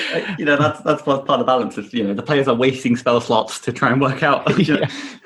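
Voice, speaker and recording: A man with an English accent, fairly high-pitched, talking very fast with ordinary pitch variation over noticeable background noise. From England. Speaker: game designer. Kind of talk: casual chat. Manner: halting, repeats words.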